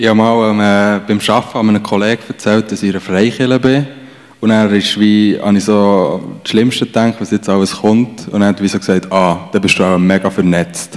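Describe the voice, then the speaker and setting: Noticeable background noise sits behind a man with a fairly low pitch. He keeps a moderate pace and fairly even intonation. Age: 20s. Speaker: church member. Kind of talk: casual chat.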